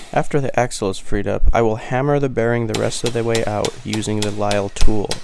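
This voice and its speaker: Talking at a fairly quick pace with fairly even intonation, a man is heard through noticeable background noise and audible room echo. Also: medium pitch for a man. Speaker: auto mechanic. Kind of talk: tutorial narration. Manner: calm; measured, scripted-sounding.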